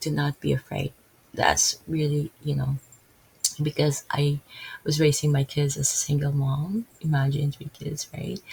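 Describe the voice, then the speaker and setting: With a Filipino accent, a woman speaks in a flat monotone at a very deep, low pitch, the sound dry and close with no echo, though noticeable background noise comes through. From Philippines. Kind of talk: casual religious talk. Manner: halting.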